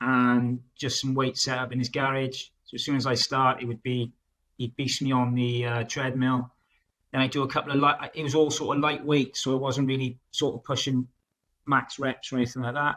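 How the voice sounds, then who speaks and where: Speaking with a South Wales accent, a man has a bright, sharp tone. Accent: Welsh (South Wales). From South Wales, Newport. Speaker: project manager, coaching client. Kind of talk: interview testimony. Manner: halting, many fillers; loud and outgoing.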